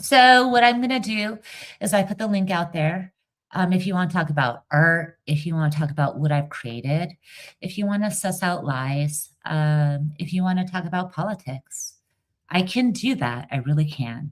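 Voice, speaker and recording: Lively intonation marks this woman's somewhat breathy voice. She speaks at a moderate pace with a fairly low pitch. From Iran. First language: not English (English is third language). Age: 40s. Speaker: livestreamer and dialect coach. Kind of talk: casual livestream chat. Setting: live stream with viewers. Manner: animated.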